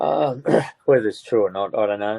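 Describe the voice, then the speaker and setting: A man speaks with an Australian accent. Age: 70s. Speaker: bereaved father. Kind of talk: interview. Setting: live stream.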